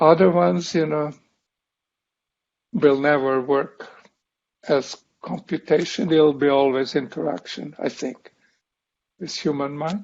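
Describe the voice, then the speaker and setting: Speaking with a strong non-native accent, a man talks at a fairly slow pace and fairly high pitch, with ordinary pitch variation and long, frequent pauses. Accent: foreign accent, self-described strong. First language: not English. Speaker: professor. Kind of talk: lecture.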